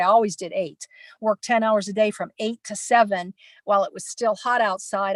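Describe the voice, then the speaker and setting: A woman with an unremarkable speaking voice and a fairly high pitch talks at a moderate pace in a dry, close sound with no echo against a quiet background. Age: 60s. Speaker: nomad work camper. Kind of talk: panel presentation. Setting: online virtual conference.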